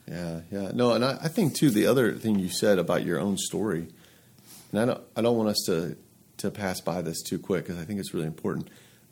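Here is a man with an American accent and a normal speaking voice, fairly low in pitch. He speaks at a fairly quick pace with lively intonation on a very clean recording with a silent background. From US South, Atlanta. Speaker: podcast host, pastor. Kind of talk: interview.

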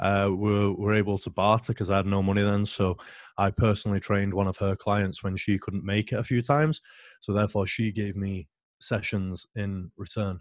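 Speaking at a moderate pace with a British accent, a man keeps a fairly low pitch and fairly even intonation in a dry, close sound with no echo. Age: 30s. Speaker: powerlifting coach. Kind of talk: casual interview. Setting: video call.

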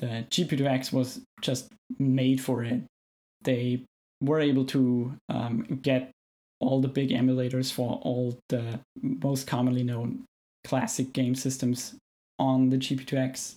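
A man with an Austrian accent and a dark, mellow tone at medium pitch, monotone and flat, at a fairly slow pace with long, frequent pauses and very even loudness. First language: German. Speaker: film video editor. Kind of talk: casual interview chat. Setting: remote call.

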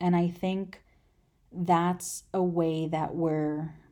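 Heard on a very clean recording with a silent background, a woman speaks in a Californian accent. Her fairly low, dark, mellow voice has monotone, flat intonation. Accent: Californian American English. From Los Angeles, US. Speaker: podcast host. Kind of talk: solo podcast intro monologue. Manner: casual with many filler words.

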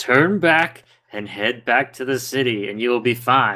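A man does a put-on character voice at a medium pitch and moderate pace in a very clean recording with a silent background. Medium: actual play. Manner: curt, imperious.

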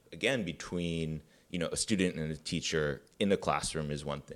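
Speaking at a moderate pace with an American accent, a man uses a very deep, low voice with ordinary pitch variation. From US Midwest, Chicago suburbs. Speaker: filmmaker. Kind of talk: interview. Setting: library room. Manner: halting.

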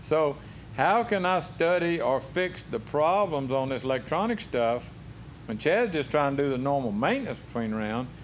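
A man speaks in a normal speaking voice at a medium pitch. His pace is moderate and his intonation lively. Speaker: professional drag racer. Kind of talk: casual interview. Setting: racing shop.

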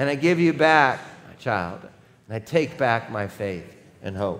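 Very wide pitch swings from a man speaking at a fairly slow pace, with audible room echo. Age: 40s. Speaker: pastor. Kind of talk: sermon.

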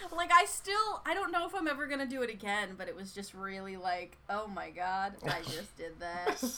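A woman with an American accent at medium pitch and moderate pace, very wide pitch swings, big swings in loudness, hardly any pauses, and noticeable background noise. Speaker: podcast co-host. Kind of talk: casual chat. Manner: animated.

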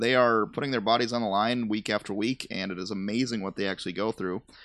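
A man with an unremarkable speaking voice talks fairly quickly with ordinary pitch variation. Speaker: podcast host. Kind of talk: casual banter chat. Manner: joking, playful.

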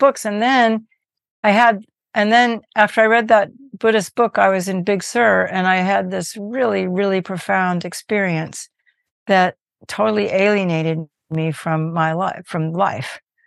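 A woman with a Californian accent, medium pitch and ordinary pitch variation, over a quiet background. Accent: Californian American. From US West Coast, Berkeley California. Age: 70s. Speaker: Buddhist teacher and musician. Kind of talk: interview.

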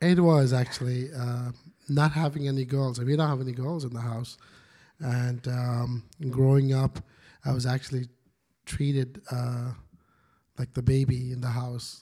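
A man's somewhat breathy, dark, mellow voice at medium pitch, moderate in pace and monotone and flat in intonation, with long, frequent pauses. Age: 40s. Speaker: lead pastor. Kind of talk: casual interview.

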